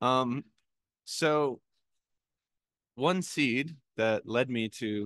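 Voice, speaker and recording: The background is quiet, and the sound is dry and close with no echo. A man talks with ordinary pitch variation. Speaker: spiritual writer and speaker. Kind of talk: talk to a congregation. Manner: halting; self-conscious about speaking loud.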